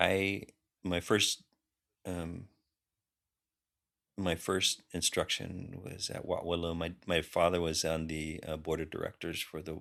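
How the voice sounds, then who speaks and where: A man with a Californian accent speaks at a fairly slow pace with long, frequent pauses. His very deep, low voice has a bright, sharp tone. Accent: Californian American English. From US West Coast (Long Beach, California). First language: Khmer. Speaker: linguistics professor, army veteran. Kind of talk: interview conversation. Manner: halting, many fillers and restarts.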